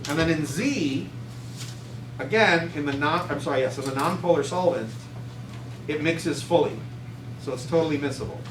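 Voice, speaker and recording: Over noticeable background noise and audible room echo, a man speaks at a fairly quick pace with long, frequent pauses, a fairly high pitch, and ordinary pitch variation. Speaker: chemistry teacher. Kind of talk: classroom lecture. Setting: classroom with students.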